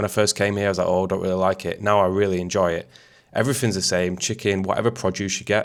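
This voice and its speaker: A man with a Mancunian accent, very fast pace and fairly even intonation, on a very clean recording with a silent background. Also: fairly low pitch for a man. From Manchester, England. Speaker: YouTuber, expat vlogger. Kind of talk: casual talk to camera.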